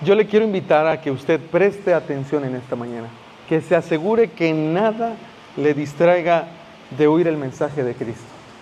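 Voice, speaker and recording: Noticeable background noise sits behind a man who talks at a moderate pace, with a fairly high pitch and lively intonation. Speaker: pastor. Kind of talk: sermon.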